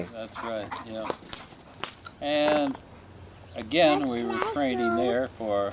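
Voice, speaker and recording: Against noticeable background noise, a man with a medium pitch speaks at a very slow pace, using ordinary pitch variation and long, frequent pauses. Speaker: war veteran. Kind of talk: interview answer.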